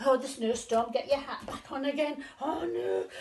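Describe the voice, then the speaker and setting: Noticeable background noise sits behind this recording. The woman speaking takes a fairly slow pace. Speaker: grandmother reading to grandchildren; former school storyteller. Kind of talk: children's storytime reading. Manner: warm, playful, expressive, interactive.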